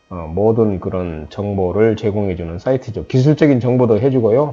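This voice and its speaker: The man's voice is fairly low, with a dark, mellow tone. He speaks at a fairly slow pace with ordinary pitch variation. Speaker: lecturer on rural experience guiding. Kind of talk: lecture. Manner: hesitant with many fillers.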